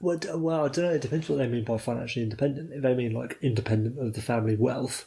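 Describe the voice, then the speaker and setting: With a British accent, the speaker rushes at a very fast pace with hardly any pauses and ordinary pitch variation over noticeable background noise. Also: man, medium pitch for a man. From Britain. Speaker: podcast co-host. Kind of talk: casual chat.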